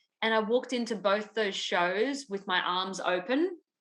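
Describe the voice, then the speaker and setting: With an Australian accent, a woman talks at a moderate pace and a medium pitch. Her tone is bright and sharp, with ordinary pitch variation. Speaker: musical theatre performer. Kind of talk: casual chat.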